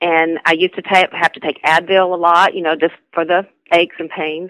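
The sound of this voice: A woman speaks with a fairly low pitch and a fairly bright tone. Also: dry, close sound with no echo.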